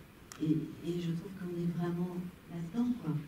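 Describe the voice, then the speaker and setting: A woman's medium-pitched voice with fairly even intonation, plus audible room echo and noticeable background noise. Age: 60s. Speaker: actress. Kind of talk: panel discussion after screening. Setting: cinema with audience.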